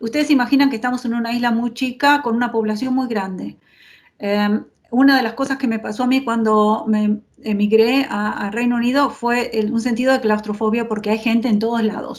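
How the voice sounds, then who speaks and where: A woman speaks at a fairly quick pace. Her fairly high voice stays monotone and flat. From Argentina. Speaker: urban designer. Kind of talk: lecture. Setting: video call.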